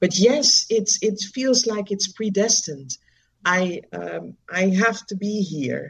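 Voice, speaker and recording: A woman with a Dutch accent and vocal fry at a very slow pace. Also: medium pitch for a woman, ordinary pitch variation. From Netherlands. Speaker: charity founder working with children. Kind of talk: interview. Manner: hesitant, many fillers.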